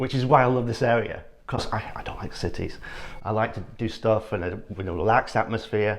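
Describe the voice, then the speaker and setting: This speaker has an English accent. The pace is fairly quick. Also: man, medium pitch for a man. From northern England, Yorkshire (Ilkley). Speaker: architect. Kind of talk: casual interview chat.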